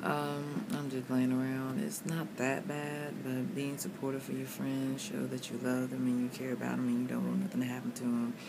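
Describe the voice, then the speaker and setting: A woman at a moderate pace amid noticeable background noise. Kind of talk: casual vlog chat. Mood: reflective, a bit loopy. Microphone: phone near.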